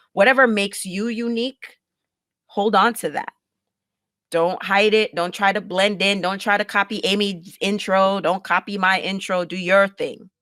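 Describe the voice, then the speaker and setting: A woman with a Jamaican accent talks at a moderate pace, her pitch medium and her intonation fairly even. Her tone is bright and sharp, and the sound is dry and close with no echo. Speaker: podcaster and producer. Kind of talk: casual interview chat.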